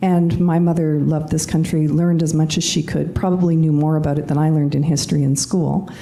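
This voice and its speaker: Over noticeable background noise and audible room echo, a woman with a Canadian accent speaks at a very deep, low pitch with fairly even intonation. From Canada. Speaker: panelist. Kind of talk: panel discussion.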